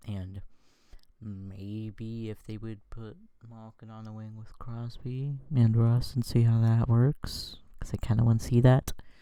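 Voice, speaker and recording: A quiet man's voice, fairly low and dark, mellow in tone, at a very slow pace on a very clean recording with a silent background. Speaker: sports YouTuber. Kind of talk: casual commentary on screen. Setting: at home.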